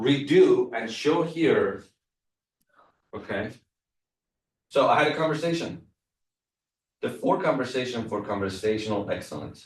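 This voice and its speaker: A man with a non-native accent speaks at a fairly slow pace, taking long, frequent pauses. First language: not English. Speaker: real estate trainer. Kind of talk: workshop presentation.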